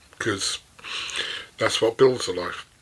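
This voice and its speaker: Noticeable background noise surrounds a man whose intonation stays fairly even. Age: 60s. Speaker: business mentor and author. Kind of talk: unscripted talk to camera. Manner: halting, with many repetitions.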